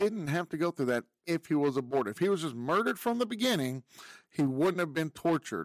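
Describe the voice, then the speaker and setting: The recording is very clean with a silent background and a dry, close sound with no echo. A man speaks fairly quickly at a fairly high pitch, with very wide pitch swings and very even loudness. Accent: American. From Texas. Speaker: podcast host. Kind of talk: opinion monologue. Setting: video podcast recording.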